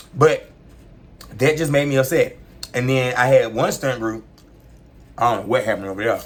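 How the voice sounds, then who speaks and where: Using a put-on character voice, a raspy man speaks at a medium pitch and a fairly quick pace, broken by long, frequent pauses. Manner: talking with a mouthful of food.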